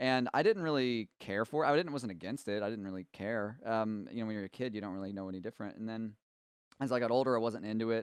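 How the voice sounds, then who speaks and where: Medium in pitch, a man speaks at a very fast pace with ordinary pitch variation. The sound is dry and close with no echo, over a quiet background. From East Tennessee. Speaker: music school co-host. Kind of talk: casual Q&A chat.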